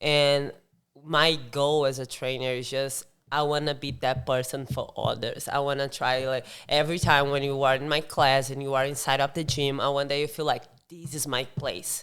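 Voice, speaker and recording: A woman speaks in a flat monotone. Her pitch is very deep and low. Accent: Brazilian. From southern Brazil. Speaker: CrossFit coach. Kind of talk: podcast interview. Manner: halting, self-correcting.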